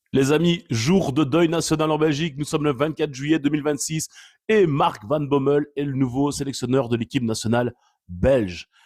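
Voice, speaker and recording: A man speaks at a moderate pace with an animated tone. His voice sits fairly high, with ordinary pitch variation. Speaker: football commentator vlogger. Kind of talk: casual opinion commentary.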